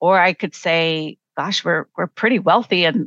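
In an ordinary speaking voice, a woman talks fairly slowly at a fairly low pitch with ordinary pitch variation, the sound dry and close with no echo against a quiet background. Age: 50s. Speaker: professor and coach. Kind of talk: casual chat.

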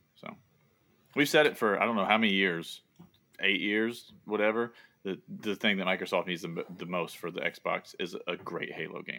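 A man with a slight Southern US accent, a bright, sharp tone and a moderate pace, broken by long, frequent pauses. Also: fairly low pitch for a man, ordinary pitch variation. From US South. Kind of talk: casual chat.

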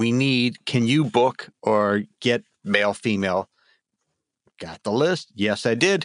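A man with an American accent, medium pitch, lively intonation and a very slow pace. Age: 60s. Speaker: voice actor. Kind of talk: casual chat.

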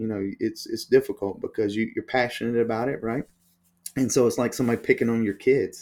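On a very clean recording with a silent background, a man speaks. He has a Southern US accent. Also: fairly quick pace. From US South, Alabama. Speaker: paddle company co-founder. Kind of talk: interview.

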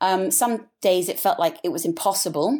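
A woman's medium-pitched voice with an English accent and lively intonation, on a very clean recording with a silent background. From England. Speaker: business founder and designer. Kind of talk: interview.

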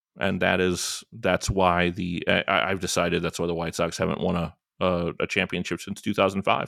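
With an American accent, a man speaks at a moderate pace in a very deep, low pitch with fairly even intonation and hardly any pauses, recorded very cleanly against a silent background with a dry, close sound and no echo. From US Midwest, Northwest Indiana. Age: 40s. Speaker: podcast host. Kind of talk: casual chat. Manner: halting, many fillers.

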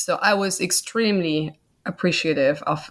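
A woman speaks at a fairly slow pace with a German accent. Her voice is fairly low, and the recording is very clean with a silent background. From Germany. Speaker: author and mother. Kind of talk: interview.

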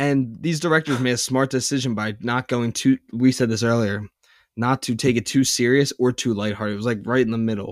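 On a very clean recording with a silent background, a man with an unremarkable speaking voice talks at a fairly quick pace, with medium pitch and fairly even intonation. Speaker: podcast host. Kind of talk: casual chat.

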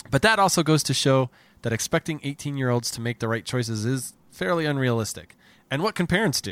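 Speaking with an American accent, a man with a plain, everyday voice talks at a fairly quick pace and a medium pitch, his intonation lively. The recording is very clean, with a silent background and a dry, close sound with no echo. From New Jersey. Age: 40s. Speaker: comedy podcast host. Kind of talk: casual chat; scripted narration.

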